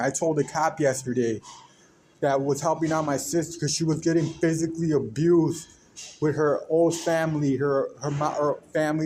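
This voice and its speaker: His intonation holds fairly even throughout. The speaker is a man with an American accent. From US, Mexican American. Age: 30s. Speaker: podcaster. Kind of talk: personal monologue. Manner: rambling, halting with restarts.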